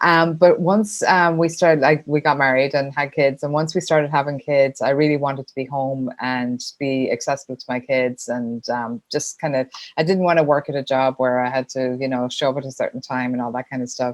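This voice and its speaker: A woman's very deep, low voice, fairly even in intonation but with big swings in loudness and hardly any pauses. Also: fairly quick pace. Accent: Irish. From Ireland. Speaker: sponsorship consultant. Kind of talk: podcast interview.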